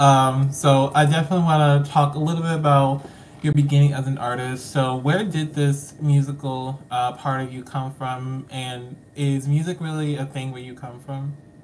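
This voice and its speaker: The speaker, with an American accent, keeps a moderate pace while noticeable noise runs in the background. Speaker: podcast host. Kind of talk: casual interview. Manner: excitable.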